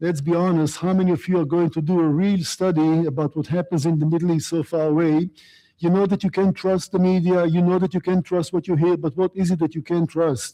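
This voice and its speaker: A man with an Israeli accent and a high pitch talks at a fairly quick pace in a dark, mellow tone, keeping very even loudness and fairly even intonation, the sound dry and close with no echo. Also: quiet background. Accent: Israeli accent, noticeable. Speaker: guest speaker on the Middle East. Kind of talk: lecture. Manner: fast.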